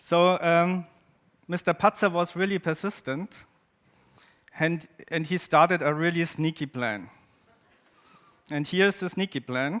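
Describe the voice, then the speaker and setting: A man with a German accent and high pitch, at a fairly slow pace with long, frequent pauses, ordinary pitch variation and a dry, close sound with no echo. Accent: German-speaking accent in English. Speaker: photographer and artist. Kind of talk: presentation to an audience. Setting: stage with audience. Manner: halting, with many fillers.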